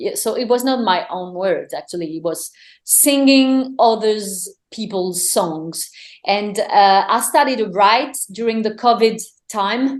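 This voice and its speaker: The speaker has a French accent and a fairly slow pace. The intonation is lively. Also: woman, fairly high pitch for a woman. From France. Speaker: singer-songwriter. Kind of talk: interview. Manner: halting, many fillers and repetitions.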